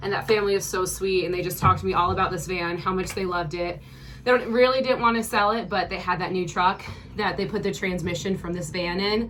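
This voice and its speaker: A woman talks at a very fast pace with fairly even intonation. Noticeable background noise and audible room echo surround her voice. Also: medium pitch for a woman. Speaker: vlogger. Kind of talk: casual vlog tour. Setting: inside a van.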